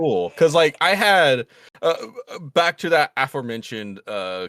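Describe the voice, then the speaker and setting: The voice carries an American accent and very wide pitch swings. The sound is dry and close, with no echo. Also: man. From New Orleans. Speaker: podcast host. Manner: casual, filler-heavy.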